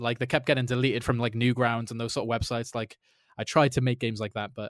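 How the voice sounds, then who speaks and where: A man's very fast speech, dry and close with no echo. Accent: English. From England. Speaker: indie game developer. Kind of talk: interview.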